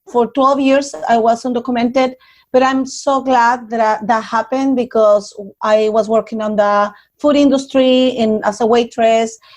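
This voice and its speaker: Against a quiet background, a woman with a Spanish accent talks with fairly even intonation. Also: fairly high pitch for a woman, moderate pace. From Mexico, Nuevo Laredo. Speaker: community organizer. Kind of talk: interview.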